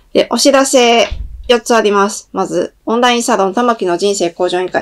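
A woman talks at a moderate pace with lively intonation. The background stays quiet. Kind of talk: announcement monologue to viewers.

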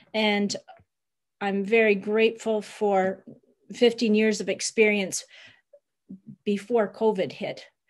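Over a quiet background, a woman with a Canadian accent speaks in a monotone, flat intonation. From Niagara, Ontario; Ontario. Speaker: bed and breakfast owner, migrant worker supporter; panelist. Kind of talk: webinar presentation. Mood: earnest, caring. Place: home room. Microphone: video call.

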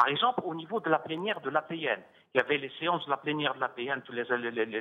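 A man's plain, everyday voice, fairly high-pitched, with lively intonation and a fairly quick pace. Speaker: retired international civil servant. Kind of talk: televised political debate. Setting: remote link from Algiers. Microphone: audio return/echo on his line.

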